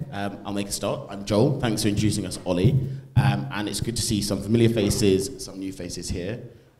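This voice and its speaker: With audible room echo, a man speaks at a fairly quick pace in a fairly low voice, showing ordinary pitch variation and big swings in loudness. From English Midlands, Stoke-on-Trent. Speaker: conservative student activist. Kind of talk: panel talk.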